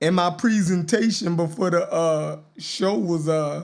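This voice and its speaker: Speaking at a very slow pace, a man talks with a Baltimore accent. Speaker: podcast host. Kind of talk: casual live-stream talk show. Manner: animated.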